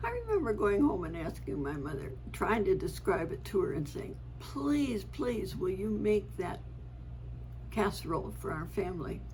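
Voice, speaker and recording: Audible room echo surrounds a woman speaking at a moderate pace. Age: 80s+. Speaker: family storyteller vlogger. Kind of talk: casual reminiscing monologue. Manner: halting with fillers.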